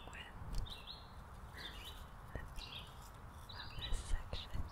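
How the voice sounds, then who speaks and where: A soft-spoken whisper at a very slow pace. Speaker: ASMR creator. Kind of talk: soft ASMR chat. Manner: soft close-mic ASMR whisper. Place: forest. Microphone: studio mic.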